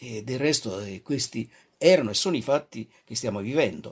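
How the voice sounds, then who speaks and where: On a very clean recording with a silent background, a man's somewhat breathy voice moves through very wide pitch swings. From Naples, southern Italy. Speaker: radio preacher. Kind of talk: devotional radio talk. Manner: halting.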